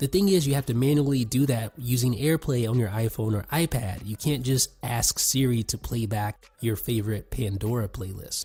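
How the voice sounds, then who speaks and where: At a moderate pace and medium pitch, a man speaks in a dark, mellow, somewhat breathy tone with ordinary pitch variation and hardly any pauses. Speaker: tech reviewer. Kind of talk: product review.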